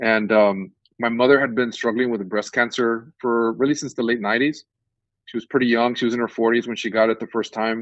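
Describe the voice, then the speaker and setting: A man with an American accent talks at a fairly quick pace in a monotone, flat intonation. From South Texas. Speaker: professor. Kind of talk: interview.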